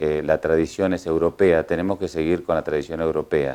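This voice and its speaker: Very deep and low in pitch, a man speaks at a moderate pace in a dark, mellow tone with fairly even intonation. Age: 60s. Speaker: horse trainer and coachman. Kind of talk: interview. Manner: hesitant, many fillers.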